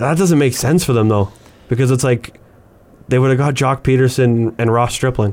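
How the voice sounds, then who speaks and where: Here a man with a Canadian accent speaks in an unremarkable speaking voice at a medium pitch and moderate pace. His pitch variation is ordinary and his loudness very even. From Canada. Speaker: sports podcast co-host. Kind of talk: casual chat.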